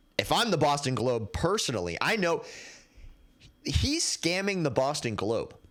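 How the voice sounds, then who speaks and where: A man with a fairly high pitch and vocal fry speaks at a moderate pace, his pitch swinging very widely while his loudness stays very even, broken by long, frequent pauses. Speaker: podcast host. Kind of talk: casual sports commentary. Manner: stutters, halting.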